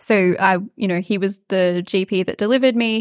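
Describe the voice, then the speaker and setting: A woman with an Australian accent speaks at a medium pitch with fairly even intonation, in a dry, close sound with no echo on a very clean recording with a silent background. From far north Queensland, Australia. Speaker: psychiatry registrar and peer support charity founder. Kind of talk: interview.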